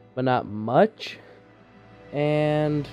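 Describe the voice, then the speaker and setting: Faint background music beneath a male speaker with ordinary pitch variation. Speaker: YouTuber. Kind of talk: casual vlog chat. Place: home room. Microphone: webcam.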